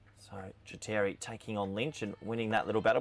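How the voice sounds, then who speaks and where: At a fairly quick pace, a man talks at a medium pitch. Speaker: cricket commentator. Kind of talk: live commentary. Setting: commentary box, alone with screens. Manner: animated.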